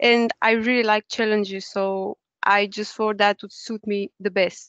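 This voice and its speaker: A woman with a Romanian accent at a moderate pace. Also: dry, close sound with no echo. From Romania, Bucharest. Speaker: university student. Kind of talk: webinar talk. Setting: online webinar.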